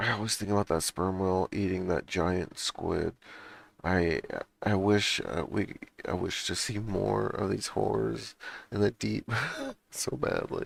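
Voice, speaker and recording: This man mumbles at a fairly slow pace, leaving long, frequent pauses. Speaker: podcast co-host. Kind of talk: casual chat. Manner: halting, many restarts.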